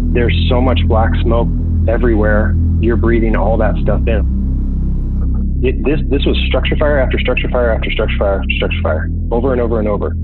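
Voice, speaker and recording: A man keeps a moderate pace with music in the background. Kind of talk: interview answer. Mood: intense, recalling a hard day. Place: kitchen. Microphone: video call.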